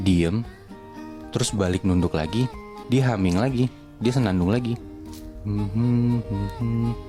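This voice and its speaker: Over music in the background, a man with a fairly low pitch speaks at a very slow pace with long, frequent pauses, ordinary pitch variation, and very even loudness. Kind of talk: horror story told casually to friends while cooking. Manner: casual, conversational storytelling.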